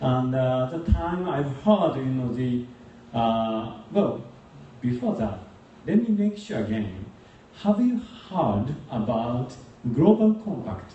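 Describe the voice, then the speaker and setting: A man with a Japanese accent speaks at medium pitch and a very slow pace, with long, frequent pauses. His pitch swings very widely, with audible room echo and noticeable background noise. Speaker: youth organization leader. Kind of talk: speech. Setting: stage with audience.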